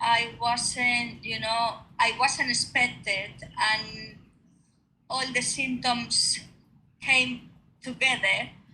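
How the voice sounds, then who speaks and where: A woman with a Spanish accent speaks very slowly in a high voice, her bright, sharp tone and fairly even intonation carrying audible room echo. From Spain. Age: 50s. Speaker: retired nurse. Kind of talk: interview. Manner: halting.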